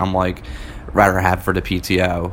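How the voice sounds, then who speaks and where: Noticeable background noise sits behind a man speaking with a very deep, low pitch. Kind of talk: casual chat. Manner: casual, laid-back.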